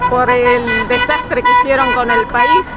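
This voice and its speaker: Speaking at a moderate pace in a high pitch, a woman is heard over crowd noise in the background, with audible room echo. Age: 60s. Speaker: protester. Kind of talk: street interview.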